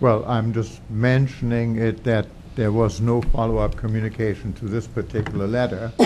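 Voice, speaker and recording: Amid audible room echo, a man speaks at a moderate pace and medium pitch in a dark, mellow tone with monotone, flat intonation. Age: 70s. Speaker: resident speaking at public comment. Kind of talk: public comment at council meeting. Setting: township council meeting.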